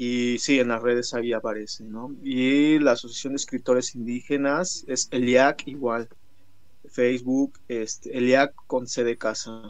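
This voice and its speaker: A man's ordinary speaking voice, medium in pitch, at a fairly slow pace with fairly even intonation. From Mixteca Alta, Oaxaca, Mexico. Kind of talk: interview.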